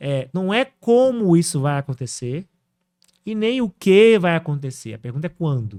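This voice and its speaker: A man talks at a moderate pace with a high pitch, a dark, mellow tone and very wide pitch swings. The recording is very clean and dry, with a silent background and a close sound with no echo. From Brazil, northern Minas Gerais. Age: 30s. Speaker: AI entrepreneur. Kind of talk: podcast interview.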